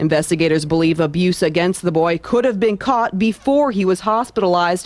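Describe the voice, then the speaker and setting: A woman speaks over noticeable background noise. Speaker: TV news anchor and reporter. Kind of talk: TV news anchor and reporter reel.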